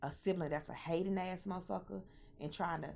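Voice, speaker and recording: A woman's fairly low voice with ordinary pitch variation, an animated tone, vocal fry, and a moderate pace. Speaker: podcast host. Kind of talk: casual monologue.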